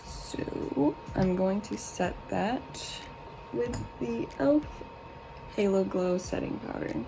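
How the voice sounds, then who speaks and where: Amid noticeable background noise and audible room echo, a woman speaks quietly and very slowly, with long, frequent pauses. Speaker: beauty vlogger. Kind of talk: makeup tutorial. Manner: speaking quietly; casual.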